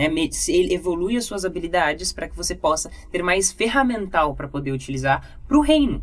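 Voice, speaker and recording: The pitch swings very widely. The speech moves at a moderate pace with hardly any pauses. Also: woman, fairly low pitch for a woman. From Brazil. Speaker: communication and public speaking teacher. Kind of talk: podcast testimony conversation.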